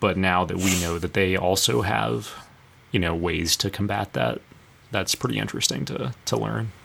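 His very deep, low pitch carries vocal fry as this man's voice moves through very wide pitch swings. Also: moderate pace. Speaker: podcast host. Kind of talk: casual podcast chat. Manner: uses many filler words, hesitant.

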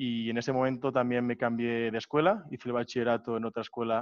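A man with a medium pitch and a normal speaking voice talks at a fairly quick pace with fairly even intonation. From Barcelona, Spain. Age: 20s. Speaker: student, entrepreneur and DJ. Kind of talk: interview.

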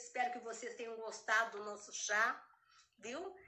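At a fairly slow pace, a woman with a high pitch speaks amid audible room echo. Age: 50s. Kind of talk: casual chat.

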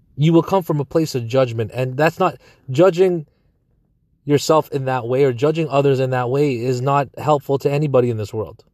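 A man with an ordinary speaking voice talks at a fairly quick pace. His pitch is fairly high, with ordinary pitch variation. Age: 30s. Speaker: business coach. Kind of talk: personal monologue. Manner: casual.

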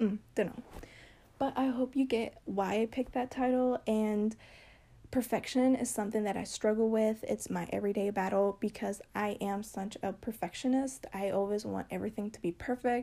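A soft-spoken woman with a fairly high pitch and a dark, mellow tone talks at a moderate pace. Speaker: podcast host. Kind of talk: casual monologue. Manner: animated.

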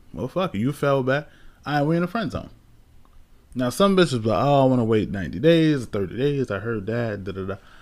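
A man speaks at a fairly quick pace in an animated tone, his intonation lively. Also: medium pitch for a man. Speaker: podcast co-host. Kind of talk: casual chat, profane. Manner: animated, rambling.

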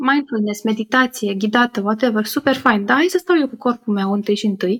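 Dry, close sound with no echo on a woman's somewhat breathy voice, fairly high in pitch with ordinary pitch variation, at a moderate pace. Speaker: psychotherapy-informed podcaster and workshop leader. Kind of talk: interview conversation. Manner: upbeat.

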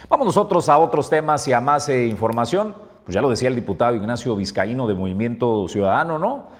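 A man talks at a fairly quick pace with hardly any pauses. His medium-pitched voice swings very widely in pitch. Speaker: news show host. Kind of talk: news commentary. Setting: studio.

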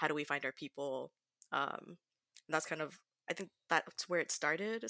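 A woman speaks with an American accent at a very deep, low pitch. Her tone is bright and sharp, with a dry, close sound and no echo. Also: very clean recording, silent background. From Southern California. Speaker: educator. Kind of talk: casual chat.

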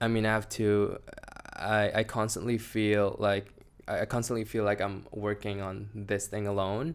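A man's fairly low voice stays monotone and flat while he talks at a moderate pace. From Indonesia (Surabaya), later US from 16. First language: Indonesian. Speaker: swimwear entrepreneur. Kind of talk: casual interview. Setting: studio, in person.

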